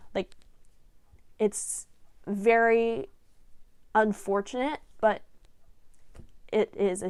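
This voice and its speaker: In a very clean recording with a silent background, a woman talks in a fairly high pitch with an animated tone. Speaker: volleyball coach and vlogger. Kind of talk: casual advice vlog. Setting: home office. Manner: loud, projecting.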